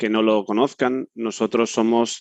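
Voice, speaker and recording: A man speaks in a fairly low, monotone voice with flat intonation against a quiet background. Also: dry, close sound with no echo. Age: 30s. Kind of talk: panel discussion. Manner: halting.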